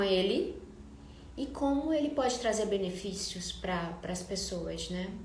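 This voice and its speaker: Soft-spoken and fairly slow, a woman with a Brazilian accent uses lively intonation, heard with audible room echo and noticeable background noise. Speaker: architect and live streamer. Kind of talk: live stream talk. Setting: live stream.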